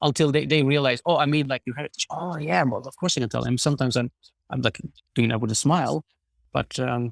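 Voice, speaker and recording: A man speaks at a very fast pace with a medium pitch and ordinary pitch variation. His voice shows vocal fry, and the sound is dry and close with no echo. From southern Sweden (Skåne). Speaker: podcast guest. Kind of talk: casual chat. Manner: halting, frequent repetitions; polite.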